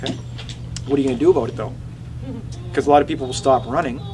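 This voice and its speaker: Music plays behind the voice. The speaker is a man. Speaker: chiropractor and anatomy educator giving a talk. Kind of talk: presentation with audience questions. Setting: running store presentation with audience. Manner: fast when excited; animated.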